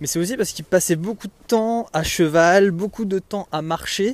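A man talks at a moderate pace in a high pitch. His pitch varies in an ordinary way. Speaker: podcaster and trail runner. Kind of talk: solo monologue podcast. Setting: outdoors on a walk. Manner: hesitant, many fillers; casual, conversational.

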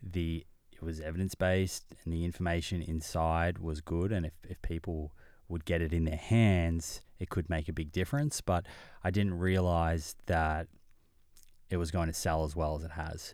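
Very deep and low, this man's voice keeps a fairly even intonation. He talks at a moderate pace. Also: very clean recording, silent background. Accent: Australian. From Australia (Melbourne). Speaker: nutritionist and podcast host. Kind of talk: interview conversation. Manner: repeats words when starting sentences.

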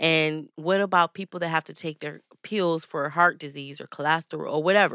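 Recorded very cleanly against a silent background, with a dry, close sound and no echo, a woman speaks at a fairly quick pace in an American accent, her bright, sharp tone sitting at a fairly low pitch with ordinary pitch variation. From Michigan (Saginaw). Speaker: holistic health coach. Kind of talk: interview.

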